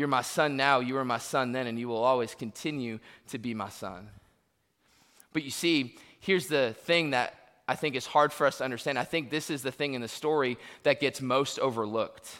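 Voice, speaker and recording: A man with an American accent, medium in pitch with a bright, sharp tone, ordinary pitch variation and a fairly quick pace, on a very clean recording with a silent background. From Florida, US. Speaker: pastor. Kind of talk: sermon.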